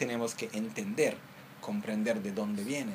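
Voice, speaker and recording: The speaker is a man with a fairly high voice. He moves at a moderate pace through very wide pitch swings. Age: 30s. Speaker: Buddhist teacher. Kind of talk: dharma teaching.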